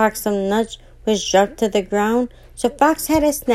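Reading in an unforced voice

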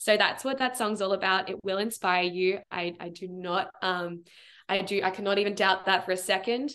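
Someone with an Australian accent talks at a moderate pace in a bright, sharp, animated tone. The background is quiet. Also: woman, medium pitch for a woman. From Melbourne, Australia. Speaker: performer and creative coach. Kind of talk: casual chat. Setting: video call. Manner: animated, friendly.

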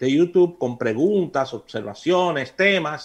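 A man talks with lively intonation and a moderate pace in an ordinary speaking voice. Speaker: radio host. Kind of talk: radio talk show, casual discussion. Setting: radio studio.

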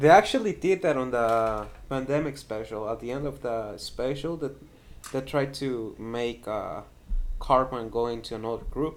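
At a moderate pace and medium pitch, a man talks with ordinary pitch variation in an unremarkable speaking voice. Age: young. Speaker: podcast co-host. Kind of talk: casual chat.

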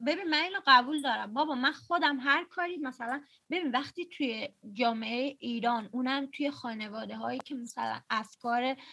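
Projecting her voice, a woman speaks at a fairly quick pace with a high pitch, a bright, sharp tone and ordinary pitch variation. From Iran. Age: 20s. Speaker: podcast host. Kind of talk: casual chat. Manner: talkative.

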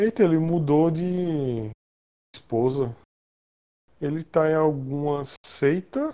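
Very slowly, a man speaks with long, frequent pauses. His fairly high voice has a dark, mellow tone and ordinary pitch variation. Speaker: freelance designer. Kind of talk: casual chat. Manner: pauses often.

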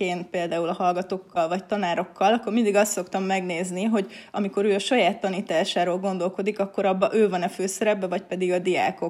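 With a normal speaking voice, a woman talks fairly quickly. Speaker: university lecturer in teacher education. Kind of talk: casual interview.

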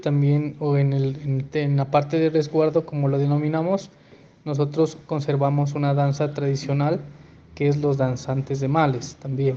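Monotone, flat intonation from a man with a fairly high pitch, at a moderate pace over noticeable background noise. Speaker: municipal culture coordinator. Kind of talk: interview answer. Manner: halting.

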